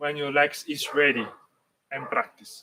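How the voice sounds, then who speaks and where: There is light background noise behind this voice. A man speaks with an Italian accent at a fairly high pitch. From Italy. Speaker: dance teacher. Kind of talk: tutorial. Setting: live stream. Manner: halting, many fillers. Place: garden. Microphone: camera far.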